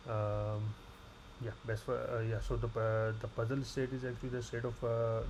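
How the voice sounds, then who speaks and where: In a room with audible echo, a man at medium pitch speaks at a fairly quick pace in a monotone, flat intonation. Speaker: graduate student. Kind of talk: tutorial. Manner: fast; halting.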